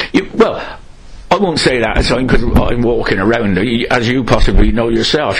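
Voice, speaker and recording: This man talks at a fairly quick clip with lively intonation, while audible room echo and noticeable background noise fill the recording. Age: 70s. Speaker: local resident interviewee. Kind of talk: oral history interview.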